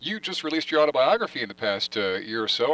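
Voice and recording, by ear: A man speaks at a fast pace and medium pitch, with lively intonation and a fairly bright tone. The sound is dry and close, with no echo.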